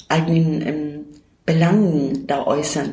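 The speaker has a Turkish accent and fairly even intonation. Noticeable background noise and audible room echo are present. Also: woman. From Turkey, moved to Germany at 13. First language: Turkish (speaking German). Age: 50s. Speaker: self-help centre worker. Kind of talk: interview.

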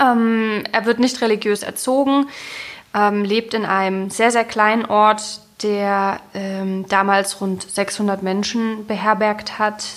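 Speaking at a very slow pace, a woman with a fairly high pitch keeps a monotone, flat intonation. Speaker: writer, literary critic and podcast host. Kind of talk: literary discussion podcast. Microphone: sound less clear due to broken cable.

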